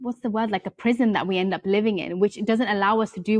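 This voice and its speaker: The speaker, with a British accent, talks at a very fast pace in fairly even intonation, the sound dry and close with no echo. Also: woman. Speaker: yoga teacher and author. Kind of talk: podcast interview.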